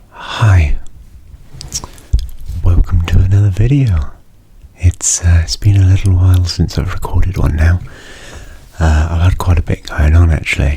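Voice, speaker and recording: Soft-spoken and very deep in pitch, a man talks at a moderate pace with ordinary pitch variation and long, frequent pauses over noticeable background noise. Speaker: university student. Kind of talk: ASMR soft-spoken rambling.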